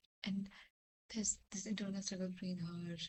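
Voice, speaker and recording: A woman whispers in a somewhat breathy voice. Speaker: vlogger. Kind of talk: casual chat. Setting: at home at midnight. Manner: whispering.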